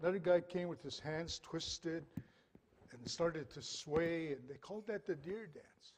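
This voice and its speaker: A man speaks in a high voice at a moderate pace. His pitch varies in an ordinary way while his loudness swings widely. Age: 60s. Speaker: dancer and elder. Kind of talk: storytelling.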